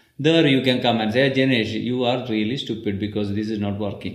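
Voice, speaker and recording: Audible room echo is heard in the recording. The man's voice sits at a medium pitch. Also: hardly any pauses. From India, Kerala. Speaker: Ayurveda practitioner. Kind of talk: interview.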